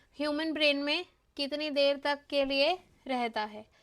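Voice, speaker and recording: A woman's high-pitched voice is heard on a very clean recording with a silent background. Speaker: online exam-prep teacher. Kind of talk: live class lecture. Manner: Hindi-English code-mixing.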